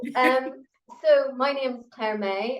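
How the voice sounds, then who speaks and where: A woman with a Northern Irish accent speaks with ordinary pitch variation. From Northern Ireland. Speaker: pharmacist and university educator. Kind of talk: interview.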